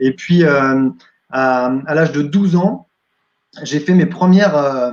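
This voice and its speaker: Here a man speaks at a very slow pace. His pitch is fairly high and his intonation lively. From France, Champagne (Épernay). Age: 40s. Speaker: entertainer and wedding DJ. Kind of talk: interview. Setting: live video stream. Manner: hesitant with many fillers.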